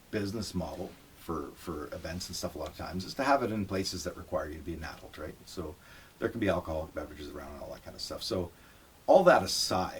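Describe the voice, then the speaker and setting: Somewhat breathy, a man with a very deep, low pitch speaks with lively intonation. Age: 50s. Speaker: musician, interviewer's father. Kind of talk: casual interview.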